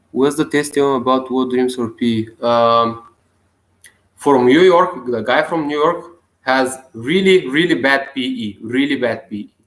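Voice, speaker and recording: A man with a non-native accent at a fairly slow pace, with ordinary pitch variation. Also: medium pitch for a man. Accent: non-native English speaker. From Bulgaria. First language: Bulgarian. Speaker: self-help video blogger. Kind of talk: casual vlog monologue. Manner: halting.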